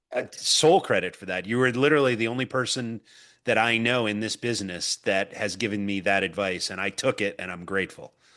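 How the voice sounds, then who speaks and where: A man's fairly low voice with a bright, sharp tone, a fairly quick pace, ordinary pitch variation and a quiet background. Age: 50s. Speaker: podcast host. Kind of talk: interview.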